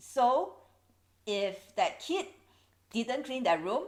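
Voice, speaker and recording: A woman talks at a fairly slow pace with a Singaporean accent. Her pitch varies in an ordinary way. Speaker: YouTuber. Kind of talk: educational vlog.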